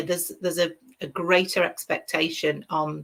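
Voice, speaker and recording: With a British accent, a woman speaks at a moderate pace in a bright, sharp tone, her fairly low pitch held in a monotone, flat intonation. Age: 50s. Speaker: crochet designer. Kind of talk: casual interview chat.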